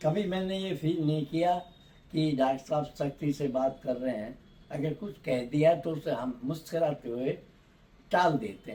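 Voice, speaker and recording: A dark, mellow tone, somewhat breathy, with ordinary pitch variation. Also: man, fairly high pitch for a man. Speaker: dental implant patient. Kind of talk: interview answer.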